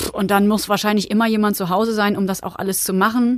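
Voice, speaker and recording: In a normal speaking voice, a woman talks at a medium pitch and a fairly quick pace. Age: 30s. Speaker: allotment gardener. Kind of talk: interview. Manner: casual, with fillers.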